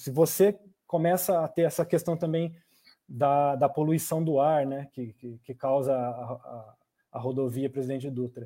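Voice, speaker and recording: A man with a fairly high pitch and a dark, mellow tone talks at a fairly slow pace, his pitch varying in an ordinary way while his loudness swings widely. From Brazil, São José dos Campos. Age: 30s. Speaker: politician. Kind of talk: online panel debate. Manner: halting, with fillers.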